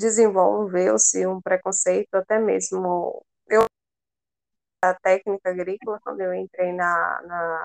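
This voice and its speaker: A woman at a fairly slow pace, in a dry, close sound with no echo. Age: 20s. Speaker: veterinary student. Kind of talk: casual interview.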